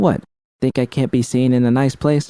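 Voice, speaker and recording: A man performs a put-on character voice at a medium pitch and a moderate pace. His intonation is fairly even, and the sound is dry and close with no echo. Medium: read story. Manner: casual, blunt.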